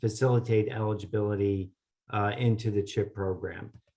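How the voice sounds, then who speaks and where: Over a quiet background, a man with a fairly low pitch speaks in a monotone, flat way, somewhat breathy. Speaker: government policy presenter. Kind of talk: webinar presentation. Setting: online webinar. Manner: hesitant, many filler sounds.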